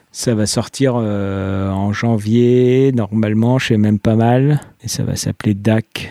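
Very slow speech from a man at a medium pitch, dark and mellow in tone, with fairly even intonation and a dry, close sound with no echo. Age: 40s. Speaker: comic book author. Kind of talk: casual interview.

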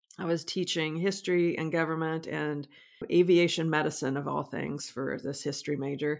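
With an American accent and monotone, flat intonation, a woman speaks at a moderate pace and fairly low pitch in a very clean recording with a silent background. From Nebraska, US Midwest. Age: 50s. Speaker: historian and author. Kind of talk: interview. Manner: halting, frequent repetitions.

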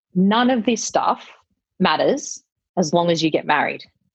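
A woman with an Australian accent speaks at a medium pitch and a fairly slow pace with lively intonation. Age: 40s. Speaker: wedding venue operator. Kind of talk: casual chat.

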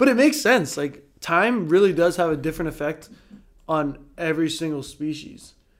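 He talks at a moderate pace, his pitch fairly high with lively intonation. This man has a normal speaking voice. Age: 20s. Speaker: professional volleyball player. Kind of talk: casual chat.

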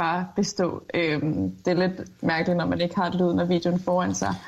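Using a normal speaking voice, a woman talks at a fairly slow pace and medium pitch, with fairly even intonation. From Jutland, Denmark. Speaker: part-time TikToker.

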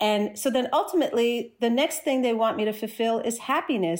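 A woman with a New Jersey accent and a fairly high pitch talks at a fairly quick pace with hardly any pauses, very even loudness and lively intonation in a very clean recording with a silent background. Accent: American, New Jersey. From US Northeast, New Jersey. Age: 40s. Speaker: skateboarder and social media creator. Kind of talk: podcast interview.

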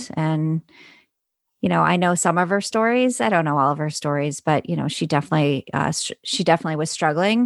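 A woman with a very deep, low voice speaks at a fairly quick pace with lively intonation, the sound dry and close with no echo. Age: 40s. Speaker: foster and adoptive parent. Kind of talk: casual chat.

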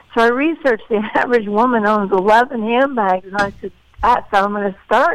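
With an ordinary speaking voice, a woman talks at a moderate pace in a fairly high pitch, showing ordinary pitch variation. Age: 50s. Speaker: heart disease advocate and entrepreneur. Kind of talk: interview.

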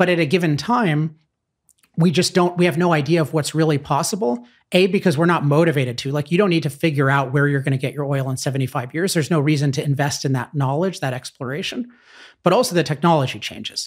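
In a very clean recording with a silent background, a somewhat breathy man rushes along at a very fast pace, his fairly high pitch showing ordinary variation. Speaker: author. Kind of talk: interview.

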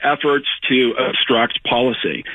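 Delivered at a fairly slow pace with fairly even intonation, this is a plain, everyday voice. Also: man. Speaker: former cabinet secretary and author. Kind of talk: interview.

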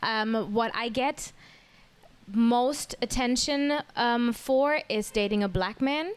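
Speaking very slowly with a German accent, a woman uses high pitch and ordinary pitch variation, taking long, frequent pauses. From Germany. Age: 30s. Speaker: podcast guest. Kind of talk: casual chat.

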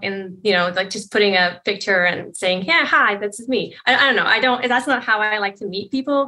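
An American-accented woman speaks at a moderate pace and a fairly high pitch. Her tone is bright and sharp. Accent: sounds American. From Poland. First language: Polish. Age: 30s. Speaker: caller. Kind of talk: advice call conversation.

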